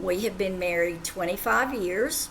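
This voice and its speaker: A woman with an Appalachian accent, with audible room echo and noticeable background noise. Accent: southwest Virginia Appalachian. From far southwest Virginia (Appalachia). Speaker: teacher. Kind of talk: self-introduction to students.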